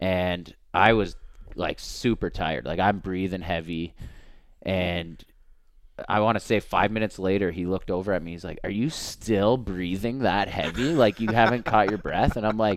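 On a very clean recording with a silent background, a man with an ordinary speaking voice and a fairly low pitch keeps a moderate pace and ordinary pitch variation. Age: 30s. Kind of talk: casual chat.

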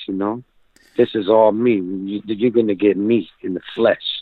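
A man in a normal speaking voice, fairly low in pitch, talks at a fairly slow pace with fairly even intonation. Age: 30s. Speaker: rapper. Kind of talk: interview.

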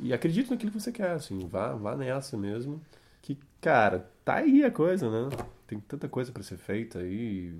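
Very wide pitch swings in a man's voice, medium in pitch. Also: moderate pace. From Curitiba, Paraná, Brazil. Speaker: film and theatre actor. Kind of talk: casual interview. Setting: recorded at host's home.

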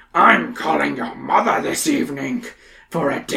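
A raspy put-on character voice comes from a man. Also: moderate pace. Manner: scowling.

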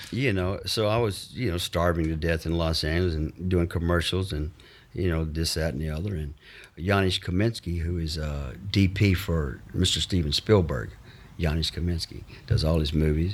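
In a Mississippi accent, a man with a very deep, low pitch talks at a moderate pace with ordinary pitch variation. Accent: Southern US (Mississippi). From US South, Mississippi. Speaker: actor. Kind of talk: casual chat. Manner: animated; talkative.

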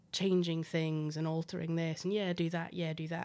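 The recording is very clean and the background silent. A woman's intonation is monotone and flat. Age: 30s. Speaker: playwright and translator. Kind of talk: interview.

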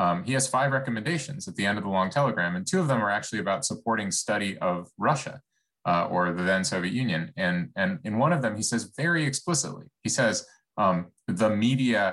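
In an ordinary speaking voice, a man talks at a fairly quick pace with fairly low pitch and lively intonation. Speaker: think tank director. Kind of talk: event introduction. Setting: video call.

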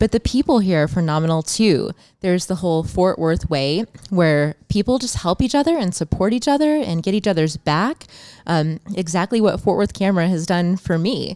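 A woman's medium-pitched voice, dark and mellow, with lively intonation at a moderate pace, in a dry, close sound with no echo. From Champaign, Illinois, US Midwest. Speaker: photographer and publicist. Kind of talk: casual chat. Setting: studio.

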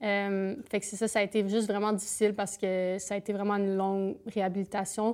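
A woman with a Canadian French accent at a medium pitch and a fairly quick pace, flat and monotone in intonation, on a very clean recording with a silent background. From eastern Ontario. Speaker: Olympic alpine skier. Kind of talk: casual interview. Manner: fast.

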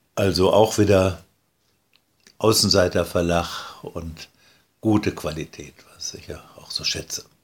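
Very slow and somewhat breathy, the speech has fairly even intonation, long, frequent pauses and big swings in loudness. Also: man, very deep, low pitch for a man. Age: 80s+. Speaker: board game designer. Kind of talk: interview. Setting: sitting at a table.

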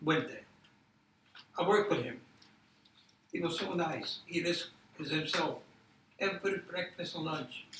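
A man speaks at a high pitch with ordinary pitch variation. His pace is fairly slow, with long, frequent pauses. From Poland. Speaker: Holocaust survivor and educator. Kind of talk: testimony. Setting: university roundtable with live audience.

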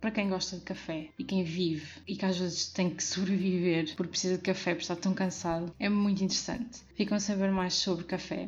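A woman's somewhat breathy, medium-pitched voice, monotone and flat in intonation, at a moderate pace. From Portugal, Porto. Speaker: podcast host. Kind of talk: solo podcast monologue.

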